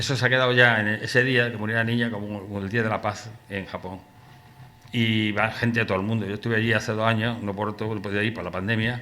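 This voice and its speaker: A man rattles along at a very fast pace. His fairly low voice stays monotone and flat. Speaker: poet presenting his book. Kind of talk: book presentation talk. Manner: poorly articulated.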